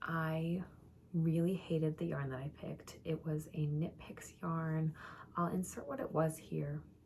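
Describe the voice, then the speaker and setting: Quiet and very deep in pitch, a woman speaks with an American accent. Her pace is fairly slow and her intonation fairly even. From Minnesota, St Paul. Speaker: knitting vlogger. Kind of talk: casual chat. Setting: at home.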